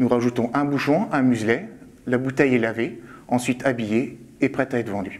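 His pace is moderate. A man talks with ordinary pitch variation. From France, Champagne region (Marne); Champagne, France. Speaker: winemaker. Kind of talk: tutorial.

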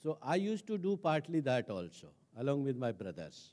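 In an Indian accent, a man with a fairly high pitch and a dark, mellow tone speaks at a moderate pace with lively intonation over a quiet background. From India, Rajasthan village. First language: Hindi. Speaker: senior civil servant; speaker. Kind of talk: talk; public talk, personal story. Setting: stage with audience. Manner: hesitant, frequent fillers. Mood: calm reflective storytelling. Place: stage. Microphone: handheld.

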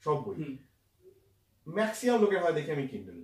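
Somewhat breathy, a man speaks against a quiet background with audible room echo. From West Bengal, India. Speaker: author of the book being discussed; guest. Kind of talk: casual chat. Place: home room. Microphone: camera far.

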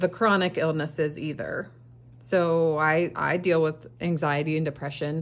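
The voice moves at a fairly slow pace with ordinary pitch variation. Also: woman. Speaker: craft seller, budgeting creator. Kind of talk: casual vlog chat. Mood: earnest, sympathetic. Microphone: phone near.

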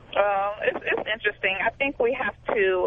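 A woman's voice over noticeable background noise. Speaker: singer. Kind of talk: radio call-in chat. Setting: phone call.

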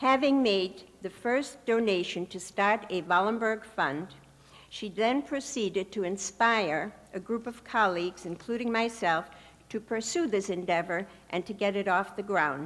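A woman with a normal speaking voice, medium pitch, ordinary pitch variation and a fairly slow pace. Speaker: professor. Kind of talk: ceremonial speech. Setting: stage with audience. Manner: formal.

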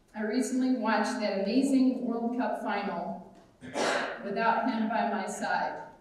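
A woman at a fairly slow pace with fairly even intonation in strong room echo. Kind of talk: eulogy speech. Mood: warm, tender, emotional. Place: church. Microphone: camera far.

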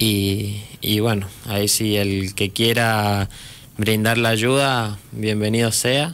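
His intonation monotone and flat, a man talks in a fairly low pitch. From Mendoza, Argentina. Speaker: charity volunteer. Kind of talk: radio interview. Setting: studio. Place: studio. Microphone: studio mic.

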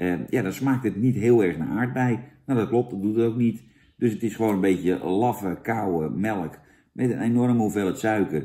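With a dark, mellow tone and a fairly low pitch, a man speaks at a moderate pace. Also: ordinary pitch variation. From Netherlands. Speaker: product reviewer, comedian; product reviewer. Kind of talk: comedic product review; casual comic review chat. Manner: animated; halting. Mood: mock disgust, sarcastic. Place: home room. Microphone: camera far.

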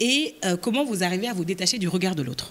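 Very wide pitch swings run through this woman's speech at a fairly quick pace. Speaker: podcast host; podcast host, moderator. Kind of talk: live interview moderation. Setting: stage with audience. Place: hall. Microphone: handheld.

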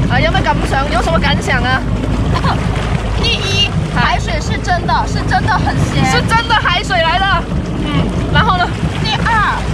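Dry sound with no echo, a fairly slow pace, and loud background noise. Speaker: travel vlogger. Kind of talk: casual vlog chat. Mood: playful, laughing. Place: boat. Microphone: phone near.

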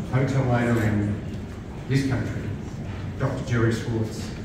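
A man's voice in strong room echo, with noticeable background noise. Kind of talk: opening speech. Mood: warm, grateful. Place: bar. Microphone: pa.

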